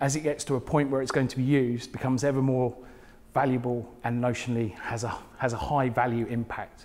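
Here is a man with a southern English accent. His voice sits at a medium pitch. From southern England, Portsmouth area; southern England. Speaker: smart cities technologist; conference presenter. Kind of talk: conference talk. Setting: stage with audience. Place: hall. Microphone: lapel.

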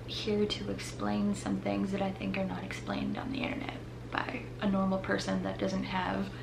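There's noticeable background noise. A woman talks at a moderate pace. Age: 30s. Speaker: YouTuber; vlogger. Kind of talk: casual vlog monologue. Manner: hesitant, filler-heavy. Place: home room.

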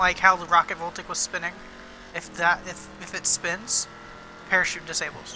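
There is noticeable background noise as a man with a high pitch speaks in a monotone, flat way, with big swings in loudness and long, frequent pauses. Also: moderate pace. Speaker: gaming YouTuber. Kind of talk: casual gameplay chat. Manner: playful, laughs often.

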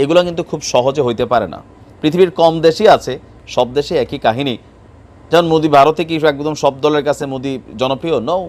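This man has a normal speaking voice. It is fairly high in pitch, with ordinary variation. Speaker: political commentator. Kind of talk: video commentary on news. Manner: conversational.

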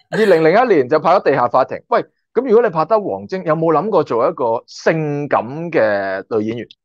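A man speaks at a moderate pace in an animated tone, his pitch swinging very widely. The sound is dry with no echo against a quiet background. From Hong Kong. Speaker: YouTuber and former stunt extra; YouTuber. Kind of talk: casual interview chat. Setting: online call. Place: home room. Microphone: video call.

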